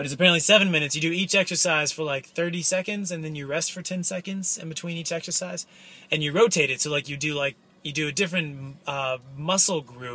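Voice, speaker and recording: A man talks at a very fast pace with a bright, sharp tone. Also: ordinary pitch variation. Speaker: vlogger. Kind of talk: casual vlog chat. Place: car. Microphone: phone near.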